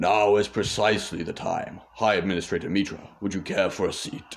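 A man puts on a gruff character voice at a fairly low pitch. He talks at a fairly quick pace with fairly even intonation. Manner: commanding.

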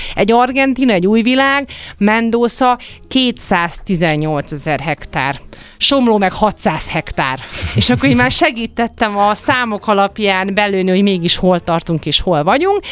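A woman at a medium pitch, fairly slow, with very wide pitch swings and very even loudness. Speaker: winemaker and wine expert. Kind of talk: radio interview.

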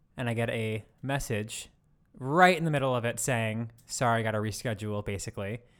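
Over a very clean recording with a silent background, a man with an American accent uses an ordinary speaking voice, speaking at a fairly quick pace and medium pitch with ordinary pitch variation. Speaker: podcast co-host. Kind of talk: casual chat. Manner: laughs often.

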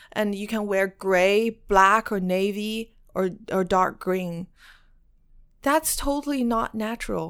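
In a Mandarin accent, the speech moves at a very slow pace with ordinary pitch variation on a very clean recording with a silent background. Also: woman, medium pitch for a woman. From China. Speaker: activist and former beauty queen. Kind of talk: interview.

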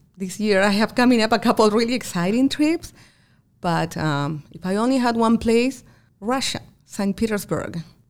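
A woman with an American accent talks in a normal speaking voice at a moderate pace. Her pitch is fairly high, and her intonation is lively. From outside the US. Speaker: accountant and business owner. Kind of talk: interview conversation. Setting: her office.

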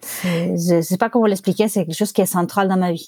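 A dark, mellow voice with ordinary pitch variation sits in a dry, close sound with no echo. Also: woman. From Barcelona, Spain (born Buenos Aires). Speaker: sommelier and wine bar owner. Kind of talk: interview. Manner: halting.

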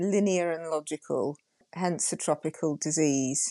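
A woman speaks at a moderate pace with a Yorkshire accent, her fairly low pitch carrying a dark, mellow tone and fairly even intonation. The sound is dry and close with no echo, against a quiet background. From Yorkshire, northern England. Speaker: GP and coach. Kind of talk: interview conversation.

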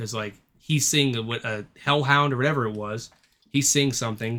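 This man's voice sits at medium pitch with ordinary pitch variation. His tone is bright and sharp. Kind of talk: casual chat. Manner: casual, swears often.

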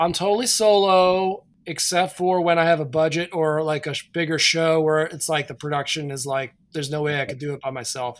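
The pitch varies in an ordinary way, and the pace is fairly quick with hardly any pauses. The recording is very clean, with a silent background. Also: man, fairly high pitch for a man. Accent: American. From Pennsylvania, near New Hope. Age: 50s. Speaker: performance and multimedia artist. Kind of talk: casual interview. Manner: halting, many fillers.

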